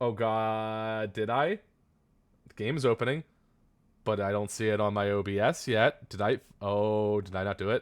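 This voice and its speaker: In a very clean recording with a silent background, a man speaks loudly and animatedly at a moderate pace, his fairly low voice broken by long, frequent pauses. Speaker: vtuber streamer. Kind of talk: live gameplay stream chat.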